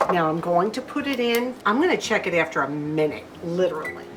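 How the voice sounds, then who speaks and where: Loud speech from a woman at a fairly low pitch, with very wide pitch swings and noticeable background noise. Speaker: lifestyle vlogger. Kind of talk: cooking tutorial. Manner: warm, friendly.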